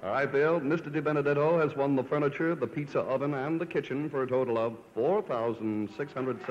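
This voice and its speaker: A man with a plain, everyday voice speaks at a moderate pace, his pitch fairly high for a man, with ordinary pitch variation and very even loudness. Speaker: announcer. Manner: crisp, formal, rich and glossy, with elegant enunciation of luxury items.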